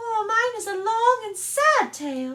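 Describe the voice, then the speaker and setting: In a put-on character voice, someone speaks at a fairly slow pace with an extremely high, squeaky pitch. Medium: read story. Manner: severe, sharp, easily offended.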